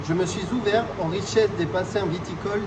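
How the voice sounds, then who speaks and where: A man talks at a moderate speed with ordinary pitch variation, while noticeable background noise and audible room echo surround him. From southwest France (Béarn). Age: 20s. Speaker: winemaking graduate applicant. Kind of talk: scripted self-presentation. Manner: formal.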